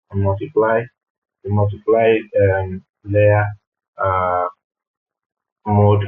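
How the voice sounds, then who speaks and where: A man with a fairly low pitch talks at a very slow pace in a monotone, flat delivery. Music plays in the background. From Nigeria. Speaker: character animator. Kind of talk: screen-recorded software tutorial. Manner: hesitant, many fillers.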